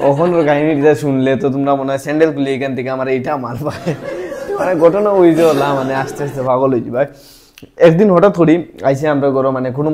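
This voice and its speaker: Noticeable background noise surrounds a man's voice. His pitch is fairly high, with ordinary variation. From Assam, India. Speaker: stand-up comedian. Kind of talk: casual stand-up comedy talk to camera.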